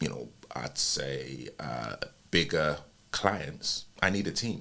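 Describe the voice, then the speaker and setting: Over noticeable background noise, a man with a very deep, low pitch speaks at a very slow pace with lively intonation. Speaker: wedding videographer and podcaster. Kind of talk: podcast conversation. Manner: halting, many fillers.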